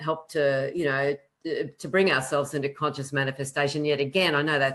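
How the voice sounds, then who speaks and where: A woman talks at a very fast pace in a very deep, low pitch. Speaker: astrologer. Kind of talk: live panel discussion. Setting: live online video stream. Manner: animated.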